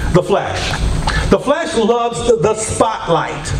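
A man speaks with very wide pitch swings. Noticeable background noise is audible. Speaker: preacher. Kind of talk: sermon. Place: church.

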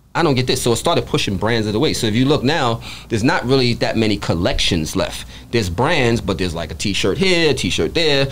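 A man talking at a very fast pace with very wide pitch swings over light background noise. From New York, the Bronx. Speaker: podcast guest, apparel sales rep. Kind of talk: casual interview. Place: shop. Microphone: studio mic.

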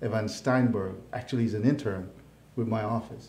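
A man's voice carries a dark, mellow tone. Room echo is audible throughout. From Jamaica (Hanover, western parishes). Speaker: county mayor. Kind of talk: casual interview. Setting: live online show. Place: studio.

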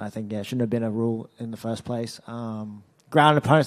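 A man speaks very fast with an Australian accent. His intonation stays fairly even. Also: quiet background. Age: 20s. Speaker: mixed martial arts fighter. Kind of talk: media interview. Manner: halting. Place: hall. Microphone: handheld.

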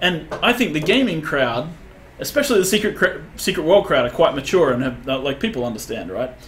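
Fairly high male pitch with very wide swings, a fairly quick pace, and light background noise. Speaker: game creative director; game developer streamer. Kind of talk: live gameplay commentary. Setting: livestream. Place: office.

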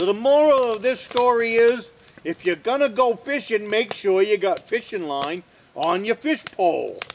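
Over light background noise, a man talks with extremely high pitch, a relaxed tone and lively intonation. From northern Maine. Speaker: off-grid woodsman and video host. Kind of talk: casual how-to talk, then folksy anecdote storytelling. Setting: outdoors at a log cabin, filmed on location. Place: forest.

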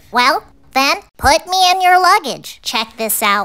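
A cartoonish character voice pitched high. It moves at a fairly slow pace. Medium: puppet. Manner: whiny, excitable.

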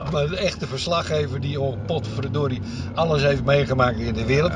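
The recording is dry with no echo, and noticeable background noise sits underneath. A man talks at a moderate pace with ordinary pitch variation. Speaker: interviewer and driver. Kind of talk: casual talk to camera. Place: car. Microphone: camera far.

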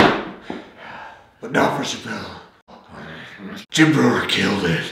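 Using a put-on character voice, a man talks at a very slow pace and a fairly low pitch, with clear echo around him. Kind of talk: comic parody. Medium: comedy sketch. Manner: terse, gruff. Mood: defensive then stern.

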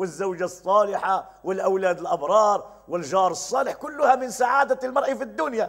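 A man talks at a moderate pace with lively intonation. He hardly pauses at all. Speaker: religious teacher. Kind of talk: religious lesson. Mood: cheerful, smiling. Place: home room. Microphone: lapel.

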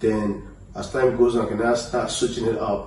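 A man's speech carries audible room echo, with light background noise behind it. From Nigeria, Lagos. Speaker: rapper. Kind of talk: interview. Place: home room.

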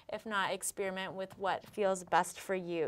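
A woman talks in a calm tone at a medium pitch. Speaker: yoga instructor. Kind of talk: guided workout tutorial. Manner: calm, encouraging instructional pace. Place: studio. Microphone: lapel.

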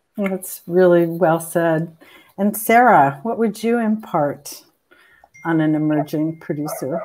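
Speaking at a fairly slow pace, a woman with an unremarkable speaking voice holds a fairly low pitch with ordinary pitch variation. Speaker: film producer and panel moderator; panel moderator. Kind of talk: panel discussion. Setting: video call. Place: home room.

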